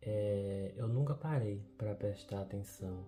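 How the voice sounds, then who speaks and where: A man's fairly low voice at a very slow pace, with music in the background. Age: 20s. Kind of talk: personal video diary reflection.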